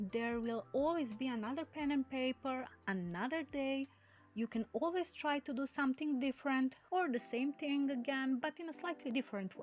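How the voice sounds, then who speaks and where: A woman talks at a moderate pace in a non-native accent. Her pitch is high, with ordinary variation. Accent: non-native English, insecure. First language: not English. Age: 20s. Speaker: artist and video creator. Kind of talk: personal motivational talk.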